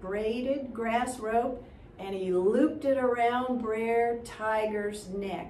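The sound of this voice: An unforced reading voice carries the whole clip.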